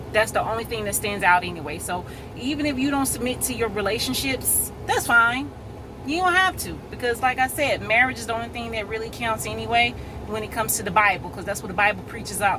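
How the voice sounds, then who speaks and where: Very fast and lively in intonation, a woman speaks at a fairly high pitch. Noticeable background noise and audible room echo come through. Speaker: vlogger. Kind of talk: casual monologue video. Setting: in a parked car.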